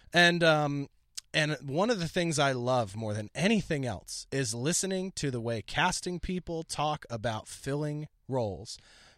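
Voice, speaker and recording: Speaking fairly slowly with lively intonation, a man uses an ordinary speaking voice and an American accent. His pitch is fairly high, and the sound is dry and close with no echo. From Philadelphia, US. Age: 30s. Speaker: comedian and podcast host. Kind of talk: casual chat.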